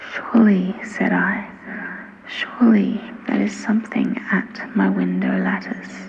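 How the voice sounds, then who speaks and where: The speech moves at a fairly slow pace. Noticeable background noise runs throughout. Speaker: ASMR reader. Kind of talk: reading aloud. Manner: soft-spoken.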